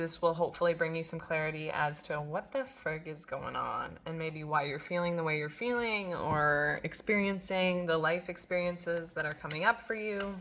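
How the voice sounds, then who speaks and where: Noticeable background noise runs under a woman's fairly low voice. She keeps a moderate pace and fairly even intonation. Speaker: tarot reader and intuitive healer. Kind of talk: collective tarot reading. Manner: casual with frequent fillers.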